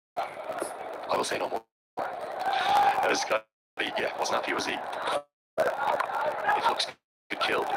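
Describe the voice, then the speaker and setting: This man speaks with an Irish accent. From Ireland. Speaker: cricket commentator. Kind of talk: live commentary.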